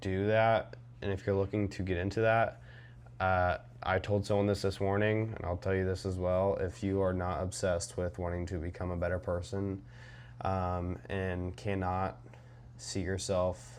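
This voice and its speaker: A man with a very deep, low pitch speaks at a fairly slow pace, showing ordinary pitch variation. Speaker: trading vlogger. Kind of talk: casual vlog monologue. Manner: rambling with many fillers.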